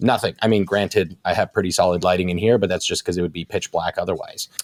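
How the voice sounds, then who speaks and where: A man is speaking. He has a slight Canadian accent. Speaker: nutrition coach. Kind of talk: casual chat. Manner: fast; animated.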